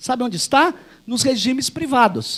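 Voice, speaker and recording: Moderate pacing from a man, his pitch varying in an ordinary way. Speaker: university professor, conference speaker. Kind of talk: academic conference talk. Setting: auditorium with audience.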